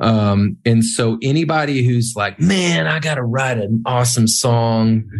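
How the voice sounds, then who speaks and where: A man speaks in an ordinary speaking voice with an American accent. His pitch is medium and his pace fairly slow. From small-town US. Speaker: worship leader and songwriter. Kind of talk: interview.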